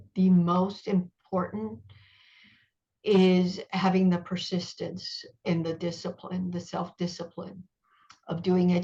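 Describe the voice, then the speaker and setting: A woman speaks at a fairly slow pace with a medium pitch. Her voice is somewhat breathy, and her intonation is fairly even. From Cuba, raised in US. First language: Spanish. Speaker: author and journalist. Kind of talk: interview.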